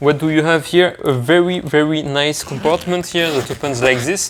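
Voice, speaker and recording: A French accent at a moderate pace over noticeable background noise. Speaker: product reviewer. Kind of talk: product review tutorial. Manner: hesitant with fillers.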